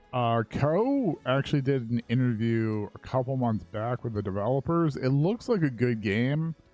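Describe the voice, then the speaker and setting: A man with a medium-pitched voice talks at a moderate pace with hardly any pauses and ordinary pitch variation, with music playing in the background. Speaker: streamer. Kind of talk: casual chat. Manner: quiet; soft-spoken.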